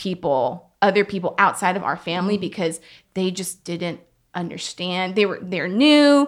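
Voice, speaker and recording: In a very clean recording with a silent background, a woman with a plain, everyday voice speaks at a moderate pace, medium pitch and lively intonation. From US South. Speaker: middle school ministry director. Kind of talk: casual panel discussion.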